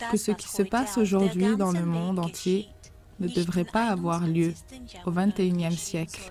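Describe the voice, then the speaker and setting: Music plays in the background. The speech is very slow, with fairly even intonation. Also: woman. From Russia. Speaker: private citizen making a video appeal. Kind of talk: political appeal to camera.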